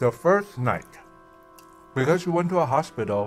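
With faint music in the background, a man talks at a moderate pace. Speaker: food vlogger. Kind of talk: casual vlog chat, storytelling while eating. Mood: relaxed, telling ghost story. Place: home room.

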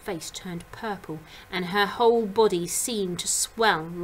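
The speaker reads in an unforced voice. Pitch shows ordinary variation.

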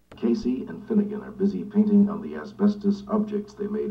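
The man's voice is high-pitched, with a flat, monotone delivery. Background noise is clearly audible. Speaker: TV announcer. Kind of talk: TV promo read.

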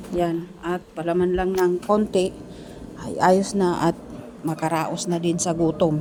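A woman's fairly low voice, monotone and flat, with noticeable background noise. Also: fairly slow pace. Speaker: domestic worker vlogger. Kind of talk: vlog voice-over.

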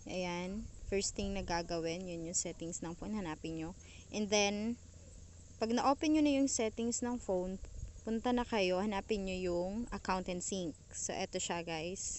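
A woman speaks in a plain, everyday voice at a medium pitch. Her pace is fairly slow, with ordinary pitch variation. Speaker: YouTuber. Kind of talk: tutorial. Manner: casual.

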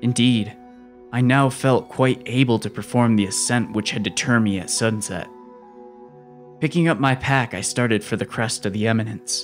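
Over music in the background, a man delivers his lines in a dramatic tone at a moderate pace, his medium pitch holding fairly even intonation. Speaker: horror audiobook narrator. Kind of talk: dramatic horror audiobook narration.

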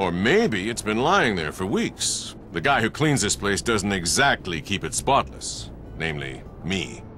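A man's put-on character voice, fairly low-pitched, bright and sharp, with big pitch swings, a fairly slow pace and few pauses

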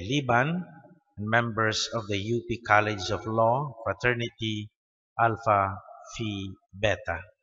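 A man with a Filipino accent, talking at a very slow pace against a quiet background. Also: ordinary pitch variation. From Philippines. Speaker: Mass announcer reading intentions. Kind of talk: reading prayers and intentions aloud. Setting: church Mass. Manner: formal, measured. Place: church. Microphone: podium.

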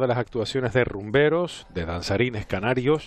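The man's speech comes at a moderate pace, with a dry sound and no echo. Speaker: TV commentator. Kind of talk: commentary. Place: hall.

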